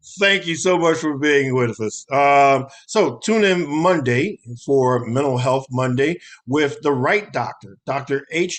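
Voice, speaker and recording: A man talks at a fairly high pitch with ordinary pitch variation. He has an unremarkable speaking voice. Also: fairly slow pace. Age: 60s. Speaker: talk show host. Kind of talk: show outro.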